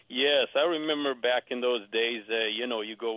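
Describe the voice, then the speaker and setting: A man with an Israeli accent, fairly even intonation and a moderate pace. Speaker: real estate agent. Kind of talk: radio interview. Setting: phone call.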